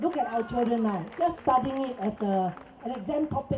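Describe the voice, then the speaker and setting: Against noticeable background noise and audible room echo, a woman with a Cantonese accent talks at a moderate pace at a fairly high pitch with very wide pitch swings. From Singapore. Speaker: protest speaker. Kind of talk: press conference. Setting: press conference. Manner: animated.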